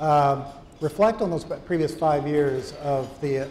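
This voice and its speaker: With audible room echo and light background noise, a man at a fairly high pitch speaks at a fairly slow pace with fairly even intonation. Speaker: retired aviation journalist and interviewer. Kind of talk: onstage interview. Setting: stage with audience. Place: hall. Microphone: lapel.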